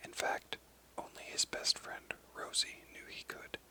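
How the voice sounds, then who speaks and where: A man's whispering against noticeable background noise. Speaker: ASMR reader / narrator. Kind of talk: whispered audiobook reading of a children's story. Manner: whispered, soft-spoken.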